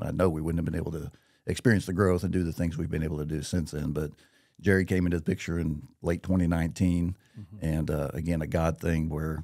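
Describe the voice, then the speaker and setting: A man with an American accent speaks at a very fast pace against a quiet background. His very deep, low voice has a dark, mellow tone and fairly even intonation. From Missouri, Marshfield; Missouri. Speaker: business executive; podcast guest. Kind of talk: casual interview. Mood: grateful, sincere. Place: studio. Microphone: studio mic.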